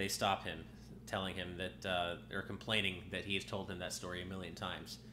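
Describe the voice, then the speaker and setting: Room echo surrounds a man's very deep, low voice, which moves at a fairly quick pace with ordinary pitch variation. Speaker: game streamer. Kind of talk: casual gameplay commentary. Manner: hesitant with many fillers.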